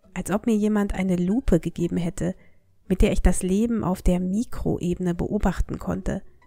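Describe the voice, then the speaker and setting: A woman speaks at a medium pitch with a dark, mellow tone and a calm tone. Her voice is somewhat breathy, and her intonation is fairly even. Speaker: language teacher. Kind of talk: storytelling. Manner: slow.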